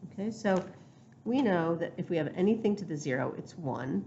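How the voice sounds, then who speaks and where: A woman talks with lively intonation and a somewhat breathy sound. Audible room echo surrounds her voice. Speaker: math teacher. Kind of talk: lecture.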